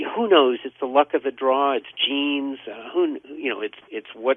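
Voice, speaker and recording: The intonation is lively. The pace is moderate. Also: man. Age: 60s. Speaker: health and supplement guest. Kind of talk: radio call-in interview. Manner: hesitant with repetitions.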